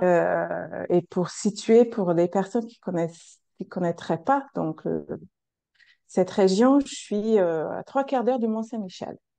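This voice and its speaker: A woman's dark, mellow voice at medium pitch, very slow pace, ordinary pitch variation and big swings in loudness, against a quiet background. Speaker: coach and practitioner. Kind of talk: casual interview. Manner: hesitant, many fillers.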